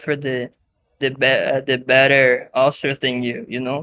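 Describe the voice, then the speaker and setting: The speaker has a Brazilian Portuguese accent and keeps a moderate pace. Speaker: podcast guest, online gaming group member. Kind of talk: casual chat. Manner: halting, many fillers and restarts.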